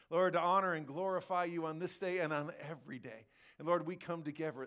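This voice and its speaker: A man is speaking. He goes at a fairly quick pace. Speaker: pastor leading worship. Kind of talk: opening prayer and worship welcome. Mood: warm, reverent. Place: church.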